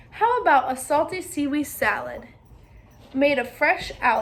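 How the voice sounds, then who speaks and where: A woman uses a put-on character voice pitched high, speaking at a moderate pace. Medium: read story.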